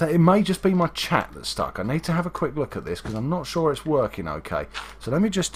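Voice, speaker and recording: Vocal fry runs through a man's fairly high-pitched voice. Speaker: gaming livestreamer. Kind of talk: casual live gameplay commentary.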